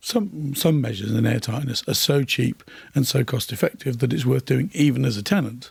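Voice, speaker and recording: A man's medium-pitched, somewhat breathy voice moves at a fairly quick pace, its pitch varying in an ordinary way. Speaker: airtightness testing expert. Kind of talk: interview.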